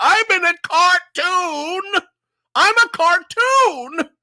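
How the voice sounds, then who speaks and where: In a put-on character voice pitched extremely high, the speaker goes at a very slow pace. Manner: overacted, exaggerated.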